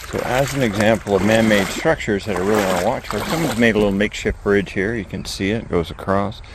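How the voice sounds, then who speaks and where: A man with a fairly low pitch and ordinary pitch variation, talking at a very fast pace with hardly any pauses, over noticeable background noise. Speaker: outdoor vlogger, paddler. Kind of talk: casual outdoor vlog narration. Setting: outdoors on a creek. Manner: quiet, hushed.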